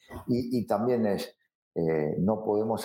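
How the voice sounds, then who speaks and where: A man speaks at a very slow pace. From Argentina, Rosario. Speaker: football coach. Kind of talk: interview. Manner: halting, many repetitions and fillers.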